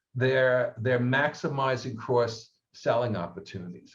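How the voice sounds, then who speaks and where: The man's voice is somewhat breathy, with a medium pitch. He keeps a moderate pace. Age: 70s. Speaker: research firm head, panelist. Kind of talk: webinar panel discussion.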